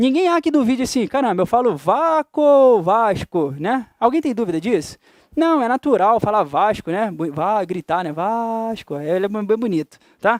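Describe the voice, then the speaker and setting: In a Carioca accent, a man with a high pitch speaks in an animated tone with very wide pitch swings, the sound dry and close with no echo. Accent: carioca Brazilian Portuguese. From Rio de Janeiro, Brazil. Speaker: teacher. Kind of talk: lecture.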